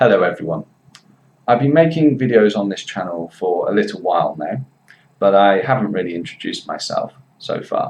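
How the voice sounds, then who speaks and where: A man speaks with a West Midlands accent. His pace is fairly quick. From Worcester, England. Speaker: English teacher. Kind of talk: commentary to camera.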